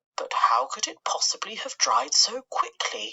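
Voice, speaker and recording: Whispering in a put-on character voice, a woman speaks at a moderate pace. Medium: read story.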